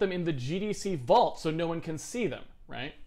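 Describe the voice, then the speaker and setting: Against a quiet background, a man with a dark, mellow tone speaks with lively intonation. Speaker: game developer and stream host. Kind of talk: angry rant. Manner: indignant, emphatic, fast-paced rant with sarcastic, fed-up tone; disfluent, stopping and restarting sentences mid-thought. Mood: critical, ranting.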